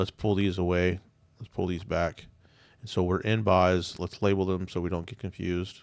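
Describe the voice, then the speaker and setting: A man speaks at a very deep, low pitch and a moderate pace in a monotone, flat intonation. The recording is very clean with a silent background and sounds dry and close with no echo. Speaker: day trader streamer. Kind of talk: live trading commentary. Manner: casual, conversational; stuttering this morning.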